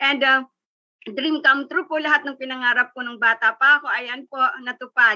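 A woman speaks in a high, bright, sharp tone. Her pace is moderate and the background quiet. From Philippines. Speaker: business sharer; guest. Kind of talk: testimony. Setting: video call. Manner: stumbling over words. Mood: upbeat, motivational. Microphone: video call.

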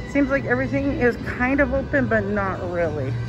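Speech moves at a moderate pace. Clear music is heard in the background. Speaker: vlogger touring a casino. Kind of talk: casual vlog chat. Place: hall. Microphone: phone near.

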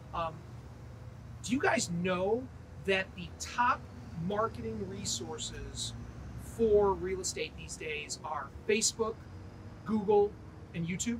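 At a very slow pace, a man speaks with long, frequent pauses and big swings in loudness against light background noise. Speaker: real estate sales manager. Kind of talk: casual training video. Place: street. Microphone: lapel.

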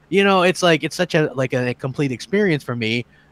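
In a normal speaking voice, a man talks at a fairly quick pace, fairly high in pitch with ordinary pitch variation. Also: dry, close sound with no echo. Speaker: gaming podcast panelist. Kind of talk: casual chat.

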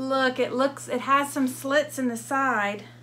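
Light background noise accompanies a woman talking at a fairly slow pace. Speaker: clothing reseller. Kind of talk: casual unboxing vlog chat. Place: home room. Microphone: camera far.

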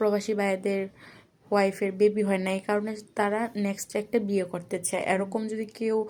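This woman's medium-pitched voice stays monotone, with flat intonation throughout. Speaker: matchmaking video interviewer. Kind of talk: interview.

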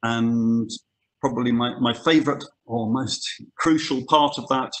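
Using a British accent, a man talks at a fairly slow pace and medium pitch. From UK. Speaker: conservation scientist. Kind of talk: webinar lecture. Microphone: webcam.

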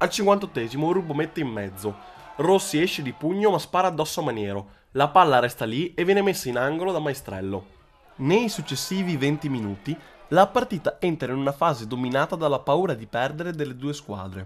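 A man at a fairly high pitch, pitch swinging very widely, delivered at a fairly quick pace. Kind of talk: sports commentary. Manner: brisk, fluent play-by-play delivery.

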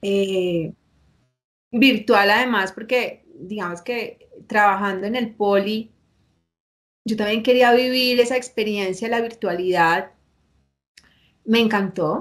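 Against a quiet background, a woman with a fairly high voice speaks very slowly, stopping for long pauses often. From Colombia, northern Valle del Cauca (La Unión); Valle del Cauca, Colombia. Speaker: university operations manager; interview guest. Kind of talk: interview. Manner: animated. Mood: warm, animated storytelling. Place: office.

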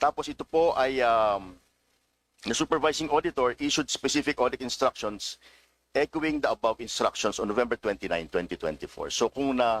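Recorded dry and close with no echo, a man talks at a moderate pace and a medium pitch. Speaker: government official testifying at hearing. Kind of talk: formal testimony under questioning. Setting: legislative hearing room. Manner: hesitant, halting, polite with many fillers.

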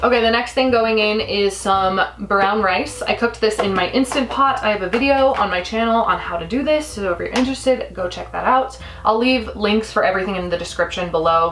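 A woman talks at a fairly quick pace with hardly any pauses. Her pitch variation is ordinary, with light background noise. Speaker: cooking vlogger. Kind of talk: tutorial. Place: kitchen. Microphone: camera far.

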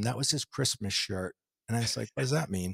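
A man with an American accent speaks with lively intonation and a somewhat breathy voice, in a dry sound with no echo against a quiet background. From New Jersey, US. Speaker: spiritual teacher. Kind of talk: interview. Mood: reflective, earnest. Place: home room. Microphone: studio mic.

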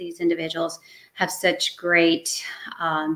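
Over a quiet background, a woman with an unremarkable speaking voice talks at a fairly slow pace and a fairly low pitch. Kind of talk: interview answer. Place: home room.

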